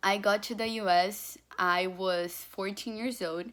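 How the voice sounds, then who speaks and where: In a Portuguese accent, a woman speaks very slowly at a medium pitch with fairly even intonation, recorded very cleanly against a silent background. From Brazil. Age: young. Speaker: student applicant. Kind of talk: application video testimony. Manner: filler-heavy, informal.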